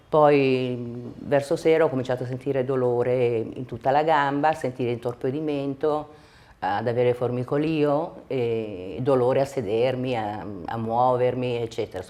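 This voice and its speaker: A moderate pace and ordinary pitch variation from a woman whose very deep, low voice has a dark, mellow tone. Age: 60s. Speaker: patient giving a testimonial. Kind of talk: testimony. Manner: halting.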